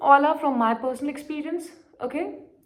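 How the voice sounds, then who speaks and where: The speaker has an Indian accent and an animated tone. Room echo is audible. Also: woman. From India, Marwari-speaking region. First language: Marwari. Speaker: poetry vlogger. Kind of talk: casual vlog monologue.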